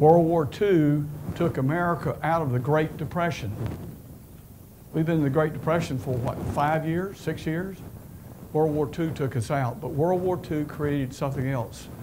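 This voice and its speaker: Amid noticeable background noise and audible room echo, a man with a North Carolina accent talks at a fairly high pitch with ordinary pitch variation. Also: moderate pace. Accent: Southern US (North Carolina). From US South, eastern North Carolina. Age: 70s. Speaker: retired business executive. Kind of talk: lecture.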